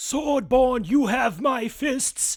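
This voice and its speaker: Using a put-on character voice, a man pitches his speech extremely high. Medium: read story.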